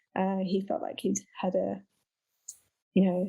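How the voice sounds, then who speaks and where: At a moderate pace, a woman speaks in a medium pitch with a somewhat breathy quality. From England, Leicestershire. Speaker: writer. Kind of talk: interview. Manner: halting.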